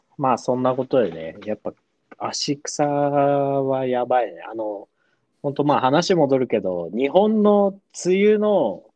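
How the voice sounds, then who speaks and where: This man's voice sits at medium pitch and swings very widely up and down. His pace is fairly slow. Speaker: podcast co-host. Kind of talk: casual chat. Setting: video call.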